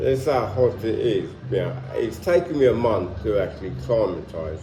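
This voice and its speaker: Noticeable background noise sits under a man who keeps a moderate tempo. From London, England. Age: 60s. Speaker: retired vlogger. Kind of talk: casual vlog monologue. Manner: halting, many fillers.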